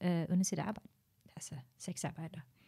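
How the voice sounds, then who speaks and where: A woman speaks in a fairly low-pitched, somewhat breathy voice. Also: very clean recording, silent background. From Norway, Tamil Sri Lankan parents. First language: Norwegian (speaking Danish). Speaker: stand-up comedian. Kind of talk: casual chat.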